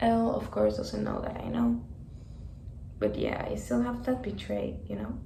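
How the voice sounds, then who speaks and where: Audible room echo surrounds a woman speaking with a Spanish accent. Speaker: vlogger. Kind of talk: personal vlog storytelling. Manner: casual, filler-heavy.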